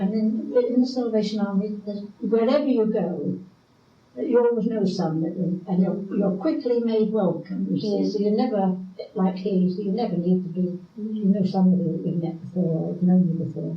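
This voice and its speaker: With noticeable background noise behind her, a woman speaks with an English accent. Her pitch is medium with ordinary variation, and her pace is moderate. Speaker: retired midwife. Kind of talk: oral history interview answer.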